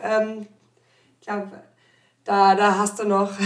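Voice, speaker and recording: This woman talks at a moderate pace. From Odenwald, Germany. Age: 30s. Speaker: company podcast host. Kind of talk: interview. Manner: hesitant, many fillers.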